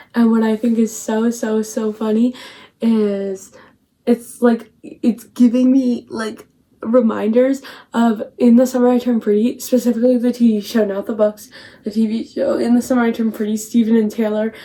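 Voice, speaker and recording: Her tone is dark and mellow, with a fairly high pitch. The woman speaks at a moderate pace in monotone, flat intonation. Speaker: book vlogger. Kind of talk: casual vlog chat. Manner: whispering quietly.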